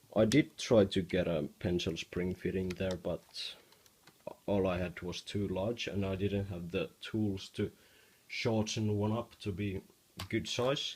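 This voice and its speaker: The voice has a non-native accent and sounds somewhat breathy. Its intonation stays fairly even. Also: man, fairly low pitch for a man. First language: not English. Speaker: hobby Lego builder. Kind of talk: casual demo of a build to camera. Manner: stuttering.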